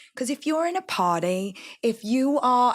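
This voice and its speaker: In a London accent, a woman speaks in a high pitch with very wide pitch swings and a bright, sharp tone, the sound dry and close with no echo. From East London, England. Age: 40s. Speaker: entrepreneur. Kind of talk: interview. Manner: animated.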